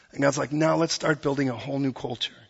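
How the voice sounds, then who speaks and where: The man's voice sits fairly high in pitch and is somewhat breathy. His pitch varies in an ordinary way. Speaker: pastor. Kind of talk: sermon. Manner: animated.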